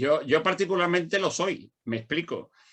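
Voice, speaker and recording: Using a plain, everyday voice, a man talks at a moderate pace and varies his pitch in an ordinary way. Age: 60s. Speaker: law lecturer and mediator. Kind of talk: panel discussion. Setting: conference with audience.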